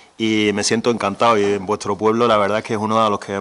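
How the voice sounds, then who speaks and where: A man with an Andalusian accent speaks at a fairly quick pace. His pitch is fairly low. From Andalusia, Spain. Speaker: regional government official. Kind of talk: presentation. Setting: public event with audience.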